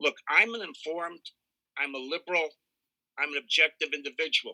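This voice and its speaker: A man with a normal speaking voice and an American accent talks at fairly high pitch, with ordinary pitch variation and a fairly quick pace. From Pennsylvania. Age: 60s. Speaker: victim's friend giving statement. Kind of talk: victim impact statement. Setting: video call.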